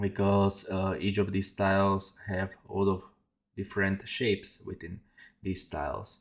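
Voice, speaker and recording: Delivery is monotone, with flat intonation and a non-native accent. The pace is fairly slow. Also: man, fairly low pitch for a man. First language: not English. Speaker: 3D artist. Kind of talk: tutorial. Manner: halting, many fillers. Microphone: headset.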